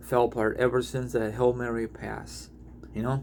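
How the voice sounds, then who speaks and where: This man has a medium pitch. His tone is animated. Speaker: sports fan vlogger. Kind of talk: casual commentary vlog.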